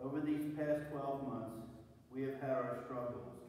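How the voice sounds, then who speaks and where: In a strongly echoing room, a man speaks fairly slowly with monotone, flat intonation. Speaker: prayer reader. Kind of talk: read prayer meditation. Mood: solemn, reflective. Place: church. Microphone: camera far.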